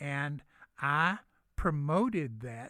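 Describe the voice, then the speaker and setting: A man speaks in a Southern US accent at a medium pitch with a bright, sharp tone. The recording is very clean, with a silent background. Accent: Southern US (Georgia). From US South, Gainesville, north Georgia. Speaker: retired business executive. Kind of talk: radio interview.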